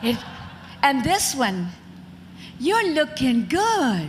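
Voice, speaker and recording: A woman with an American accent and a high pitch speaks at a very slow pace with very wide pitch swings, over noticeable background noise and audible room echo. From Mississippi, US South. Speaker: former beauty queen and actress. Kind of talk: interview on stage. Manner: talkative.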